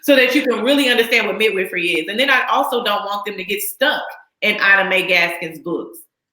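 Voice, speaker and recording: Speaking fairly quickly with an American accent, a woman uses a medium pitch and ordinary pitch variation, with audible room echo. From Texas. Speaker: midwife. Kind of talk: interview.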